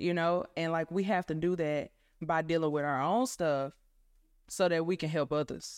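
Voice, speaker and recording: An ordinary speaking voice from a woman, fairly low in pitch with ordinary pitch variation, dry and close with no echo on a very clean recording with a silent background. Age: 20s. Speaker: podcast guest. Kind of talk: faith-based casual chat.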